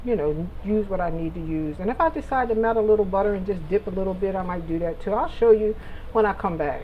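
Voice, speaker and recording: A woman speaks at a fairly quick pace and a medium pitch, with audible echo from the room. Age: 60s. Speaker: cooking vlogger. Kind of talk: casual cooking vlog. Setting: home kitchen. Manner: hesitant, many ums.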